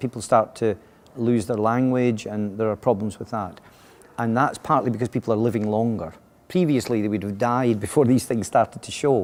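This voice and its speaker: With a Scottish accent, a man talks at a fairly quick pace and medium pitch, using ordinary pitch variation. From Scotland. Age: 60s. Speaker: education consultant. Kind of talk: interview answers. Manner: halting, many fillers and restarts.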